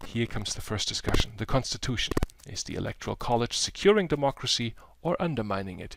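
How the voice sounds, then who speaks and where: A man with a plain, everyday voice, medium pitch, lively intonation and a fairly quick pace. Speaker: professor. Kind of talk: tutorial.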